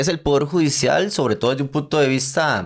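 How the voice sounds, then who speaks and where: The very clean recording, with a silent background, captures a man with a Costa Rican accent and a fairly high pitch. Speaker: podcast host. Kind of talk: podcast outro.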